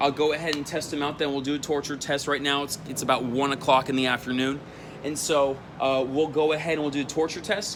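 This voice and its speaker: Against noticeable background noise, a man speaks very fast at a fairly high pitch with monotone, flat intonation. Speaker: auto detailing youtuber. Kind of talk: product review tutorial. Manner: casual, with fillers.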